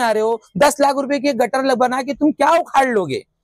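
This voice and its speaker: A moderate pace in a dry, close sound with no echo. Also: man. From Bhiwandi, Maharashtra, India. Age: 20s. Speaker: teacher and local protester. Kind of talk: interview statement. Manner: halting, self-correcting.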